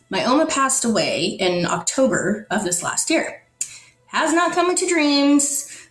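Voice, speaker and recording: Over music in the background, a woman speaks at a fairly slow pace in a high pitch, with an animated tone and very wide pitch swings. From Netherlands. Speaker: storyteller sharing a personal spiritual experience. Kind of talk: personal testimony in an interview.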